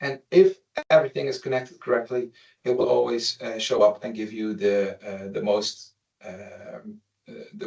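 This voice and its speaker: A man talks at a moderate pace. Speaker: company presenter demonstrating software. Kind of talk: webinar product demo. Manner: halting with many fillers.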